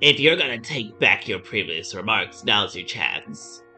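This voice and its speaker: Clear music plays behind a man doing a put-on character voice at a moderate pace. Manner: cold, challenging.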